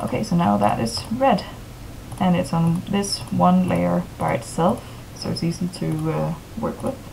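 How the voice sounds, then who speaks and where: A woman speaks over noticeable background noise. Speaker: tutorial maker. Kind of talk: tutorial.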